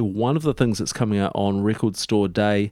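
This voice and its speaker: Recorded very cleanly against a silent background, a man with a New Zealand accent speaks with ordinary pitch variation. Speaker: radio host. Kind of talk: radio DJ patter between records, relaxed, informative show host chat.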